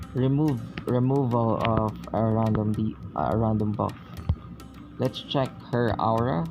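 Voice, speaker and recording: A man with a non-native accent speaks at a medium pitch and a fairly slow pace, with ordinary pitch variation. His loudness stays very even through long, frequent pauses, with music in the background. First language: not English. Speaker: game reviewer. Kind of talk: casual game review commentary. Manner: hesitant, halting.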